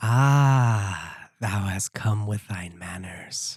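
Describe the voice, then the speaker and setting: A put-on character voice sits low in pitch and moves at a very slow pace. The recording is very clean, with a silent background. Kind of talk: archaic, old-fashioned speech. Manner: mysterious.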